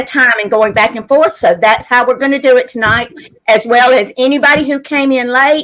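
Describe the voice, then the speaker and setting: A loud, high-pitched woman's voice in a Louisiana accent, moderate in pace with ordinary pitch variation. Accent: Southern US (Louisiana). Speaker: live sale host selling vintage items. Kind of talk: live online sale chat.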